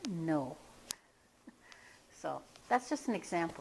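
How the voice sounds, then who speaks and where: A woman is speaking. Her intonation is lively. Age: 60s. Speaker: hypnotherapist. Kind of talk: casual talk to camera. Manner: casual.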